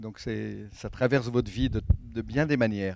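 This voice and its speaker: A man speaks with ordinary pitch variation over a quiet background, the sound dry with no echo. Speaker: event host. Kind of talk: event introduction. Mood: warm, light laughter. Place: hall. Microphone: handheld.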